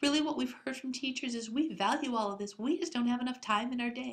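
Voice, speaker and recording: Very fast and squeaky, a woman speaks at a high pitch with ordinary pitch variation. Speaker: school district curriculum administrator. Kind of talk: recorded staff presentation. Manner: hesitant with filler words.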